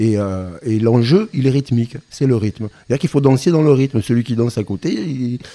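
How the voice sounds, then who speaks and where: A man's dark, mellow voice at a medium pitch with ordinary pitch variation, a moderate pace, hardly any pauses and a dry, close sound with no echo. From French Basque Country. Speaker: singer-songwriter and drummer. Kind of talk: interview.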